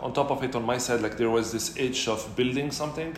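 Noticeable background noise and audible room echo are present. Over them, a man speaks fairly quickly. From Morocco, Casablanca. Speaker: startup founder. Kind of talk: interview.

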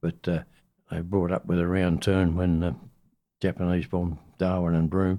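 On a very clean recording with a silent background, a man with an Australian accent speaks in a very deep, low pitch and a dark, mellow tone, with monotone, flat intonation and long, frequent pauses. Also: moderate pace. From Western Australia. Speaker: navy veteran. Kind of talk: oral history interview.

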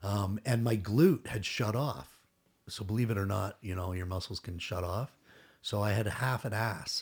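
On a very clean recording with a silent background, a man speaks at a moderate pace in a somewhat breathy, fairly low voice. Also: ordinary pitch variation. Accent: Canadian. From Toronto, Canada. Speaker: retired SWAT police officer. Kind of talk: casual chat.

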